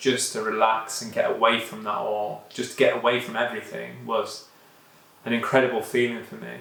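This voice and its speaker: In a British accent, the speaker's loudness swings widely, with audible room echo and noticeable background noise. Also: man. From UK. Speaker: vlogger. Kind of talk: personal vlog monologue. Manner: casual, many fillers.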